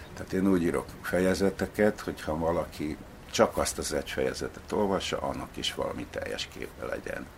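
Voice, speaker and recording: A man keeps a moderate pace as noticeable background noise carries on. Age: old. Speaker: novelist. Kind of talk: interview. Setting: at home.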